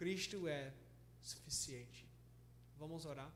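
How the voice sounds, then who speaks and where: A man is speaking. Audible room echo is heard around his voice. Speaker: pastor and missionary. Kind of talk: sermon. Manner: halting, frequent self-corrections.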